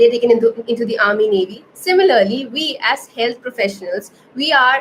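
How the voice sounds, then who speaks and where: Here a woman speaks with an Indian accent. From India, Kerala-born, raised in Navi Mumbai. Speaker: anatomy educator, health science student. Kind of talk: livestream Q&A tutorial. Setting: live stream. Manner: hesitant, many fillers.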